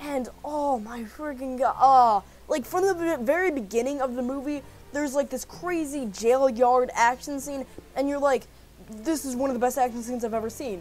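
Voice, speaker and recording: A woman shouts loudly at a high pitch in an animated, excited tone. Her pace is moderate and her pitch variation ordinary. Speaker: movie reviewer. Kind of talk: video review. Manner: loud, yelling.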